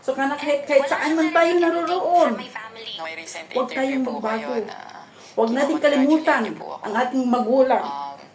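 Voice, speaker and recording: Against noticeable background noise, a woman with a high pitch and ordinary pitch variation talks at a fairly slow pace with long, frequent pauses. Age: 50s. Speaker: YouTube vlogger; vlogger giving opinion. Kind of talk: casual video commentary; casual vlog commentary. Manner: halting, many fillers. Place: home room. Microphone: phone near.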